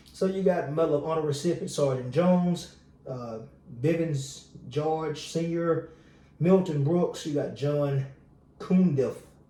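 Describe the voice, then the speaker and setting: The man has a fairly high pitch and an animated tone, speaking at a fairly slow pace with long, frequent pauses amid audible room echo. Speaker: military veteran, video commentator. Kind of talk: casual commentary monologue. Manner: casual, animated.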